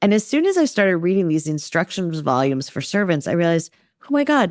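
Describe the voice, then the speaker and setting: On a very clean recording with a silent background, a woman speaks in a fairly low pitch with an animated, amused tone. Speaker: novelist, author. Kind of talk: podcast interview answer, casual and humorous.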